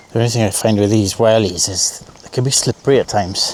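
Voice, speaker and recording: Against noticeable background noise, a man speaks with a Welsh accent and ordinary pitch variation. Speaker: photography vlogger. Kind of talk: vlog narration. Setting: outdoors. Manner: soft-spoken.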